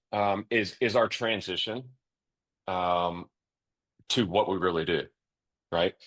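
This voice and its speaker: A man talks with fairly even intonation and long, frequent pauses. The background is quiet. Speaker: financial advisor. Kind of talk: interview. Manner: fast; high energy.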